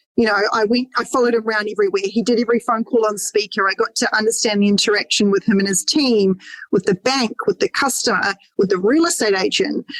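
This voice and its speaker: At a very fast pace, a woman with an Australian accent talks in a fairly high pitch with ordinary pitch variation and very even loudness, the sound dry and close with no echo. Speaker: mortgage broker. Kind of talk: podcast interview.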